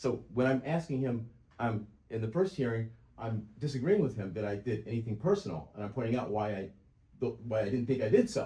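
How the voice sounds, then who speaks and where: A man talks at a fairly quick pace in a somewhat breathy voice. His tone is dark and mellow, and his pitch varies in an ordinary way. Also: medium pitch for a man. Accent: American. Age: 60s. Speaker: self-represented litigant. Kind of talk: courtroom oral argument. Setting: courtroom hearing. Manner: halting, repeats words.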